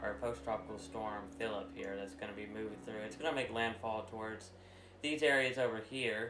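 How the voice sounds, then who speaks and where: Man's voice at a medium pitch and moderate pace, with ordinary pitch variation, audible room echo and noticeable background noise. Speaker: weather livestreamer. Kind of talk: casual livestream chat. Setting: live stream. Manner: loud.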